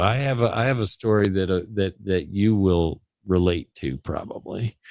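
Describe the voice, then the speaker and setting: A man with an American accent speaks at a fairly slow pace. The recording is very clean, with a silent background. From Chicago area, Illinois. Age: 60s. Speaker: vlogger. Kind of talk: casual chat. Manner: halting, many restarts.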